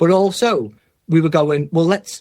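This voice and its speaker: With ordinary pitch variation and a moderate pace, a man's voice comes out somewhat breathy. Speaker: head of user-centred design in health service. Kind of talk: podcast interview. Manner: casual, animated.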